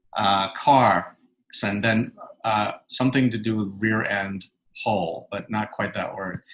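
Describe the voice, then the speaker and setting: A man with a New York accent speaks at a fairly low pitch and a fairly slow pace. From New York City. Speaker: author and clinical psychologist. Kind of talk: interview.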